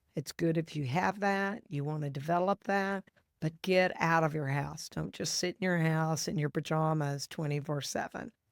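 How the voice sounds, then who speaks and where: At a moderate pace, a woman with a very deep, low voice speaks with ordinary pitch variation in a very clean, dry, close recording with no echo and a silent background. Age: 60s. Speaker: podcast host, divorce attorney. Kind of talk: solo podcast monologue. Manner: conversational.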